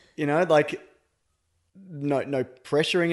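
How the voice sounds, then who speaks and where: Fairly high in pitch and at a moderate pace, a man with a plain, everyday voice. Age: 30s. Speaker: podcaster, host's husband. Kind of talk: casual chat.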